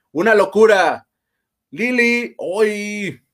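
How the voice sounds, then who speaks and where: This is a man speaking with a Mexican accent. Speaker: livestream host. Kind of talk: casual chat.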